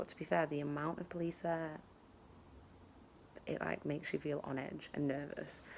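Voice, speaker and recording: Talking at a moderate pace, this woman has a British accent. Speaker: travel vlogger. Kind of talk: casual vlog. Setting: outdoors in garden. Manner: quiet.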